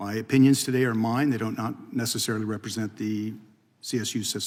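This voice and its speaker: The speech goes at a very fast pace. The intonation is monotone and flat. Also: man, medium pitch for a man. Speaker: fire institute director, former fire service officer. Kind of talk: congressional testimony. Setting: committee hearing room. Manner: formal; soft-spoken. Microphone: too quiet at first.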